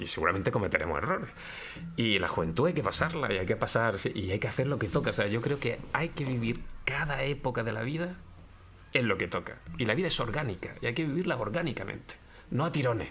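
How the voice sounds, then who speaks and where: A man with a medium pitch talks at a very fast pace, his pitch swinging very widely. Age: 60s. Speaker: philosophy professor. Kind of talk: interview conversation. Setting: law office.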